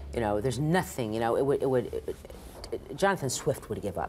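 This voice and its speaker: The voice races at a very fast pace with very wide pitch swings and vocal fry. Light background noise sits underneath. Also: woman. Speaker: interviewee. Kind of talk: interview answer. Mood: wry, opinionated, sardonic. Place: bar.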